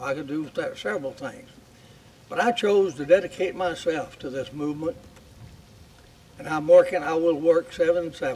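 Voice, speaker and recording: Against noticeable background noise, a man with a high pitch speaks at a moderate pace with lively intonation, big swings in loudness, and long, frequent pauses. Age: 80s+. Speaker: war veteran. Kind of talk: speech. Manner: halting.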